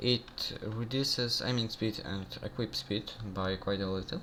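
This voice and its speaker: Against noticeable background noise, a man with a non-native accent talks at a moderate pace and medium pitch, with ordinary pitch variation. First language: not English. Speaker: gaming youtuber. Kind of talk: game tutorial. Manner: halting, many fillers. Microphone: bad audio quality.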